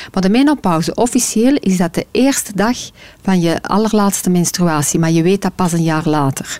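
A woman speaks with a Flemish accent and lively intonation. Her loudness stays very even. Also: medium pitch for a woman, moderate pace. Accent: Flemish Dutch. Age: 40s. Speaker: menopause consultant and author. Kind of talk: interview.

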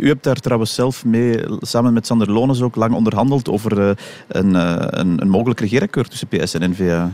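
At a moderate pace, a man uses an ordinary speaking voice at medium pitch with ordinary pitch variation. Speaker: radio host. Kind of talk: radio interview.

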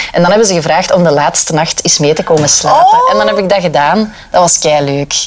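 Over noticeable background noise, a woman with a Flemish accent speaks at a fairly quick pace with hardly any pauses, lively intonation and very even loudness. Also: fairly low pitch for a woman. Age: 20s. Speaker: radio reporter. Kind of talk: casual chat.

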